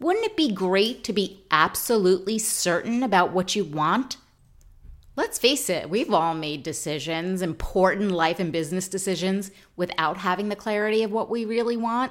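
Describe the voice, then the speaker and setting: Heard in a very clean recording with a silent background, a normal speaking voice with an American accent moves at a moderate pace with lively intonation. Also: woman. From New York. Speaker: podcast host. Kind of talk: solo podcast monologue on self-improvement.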